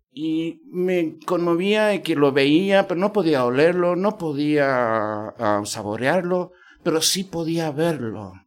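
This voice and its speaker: A man's fairly high voice, very slow, with lively intonation. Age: 50s. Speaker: podcast host. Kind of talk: interview conversation. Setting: university venue.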